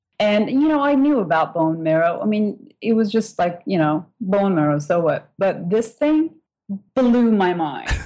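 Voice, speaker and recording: Music plays behind a woman with a Turkish accent speaking at a fairly slow pace. Her loudness stays very even while her pitch swings very widely. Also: medium pitch for a woman. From Turkey. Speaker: food blogger and photographer. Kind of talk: casual interview chat.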